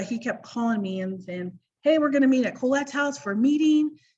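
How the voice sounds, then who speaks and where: This is a woman talking. Some breathiness runs through her voice. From US, Idaho. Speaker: direct sales director. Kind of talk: personal business story on a panel. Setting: video call. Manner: fast.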